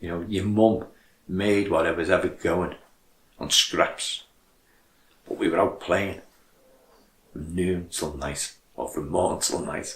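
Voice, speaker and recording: A man with a Liverpool accent speaks very slowly in a very deep, low voice, somewhat breathy, with big swings in loudness and long, frequent pauses. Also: ordinary pitch variation. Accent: Scouse (Liverpool). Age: 70s. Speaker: charity chairman. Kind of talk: appeal speech.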